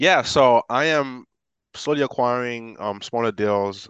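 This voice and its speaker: A man with an American accent talks at a fairly slow pace with ordinary pitch variation. The sound is dry and close with no echo, over a quiet background. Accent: good English, slight Haitian trace implied. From Haiti, raised in the US from age nine. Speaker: real estate investor, engineer. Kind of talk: casual interview. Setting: video call.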